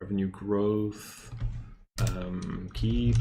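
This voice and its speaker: Here a man with a slight Dutch accent talks in a fairly low pitch. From Netherlands. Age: 30s. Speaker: stock investing youtuber. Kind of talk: livestream chat and research. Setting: live stream. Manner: hesitant, many fillers.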